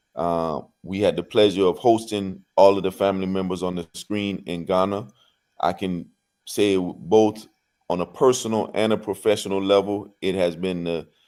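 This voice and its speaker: Very deep and low in pitch, a man's voice has a dark, mellow tone and fairly even intonation. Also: moderate pace. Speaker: nonprofit executive director. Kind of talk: panel discussion. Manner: halting with fillers.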